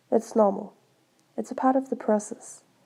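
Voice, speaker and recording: In a Danish accent, the speaker talks at a moderate pace with a dark, mellow tone. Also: woman. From Denmark. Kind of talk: casual talk to camera.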